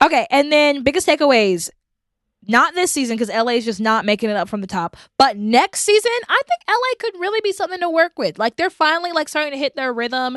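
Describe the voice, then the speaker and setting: Loud and fairly quick, the voice makes very wide pitch swings, with a dry, close sound with no echo. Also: woman. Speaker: podcast host; teacher. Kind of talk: casual chat.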